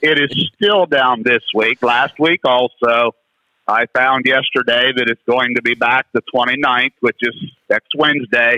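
This man has an unremarkable speaking voice with a medium pitch, an American accent, fairly even intonation, a fairly slow pace and very even loudness. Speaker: caller. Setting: phone call.

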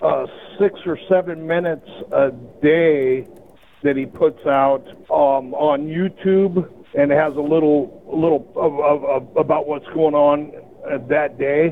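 This man has a plain, everyday voice, a fairly high pitch and fairly even intonation. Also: fairly slow pace. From Montana. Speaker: caller. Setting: phone call.

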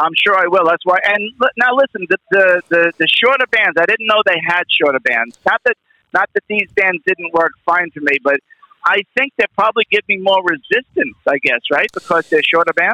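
Keeping his loudness very even, a man talks at a moderate pace with lively intonation and a high pitch for a man. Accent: New York. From New York. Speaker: caller. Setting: phone call.

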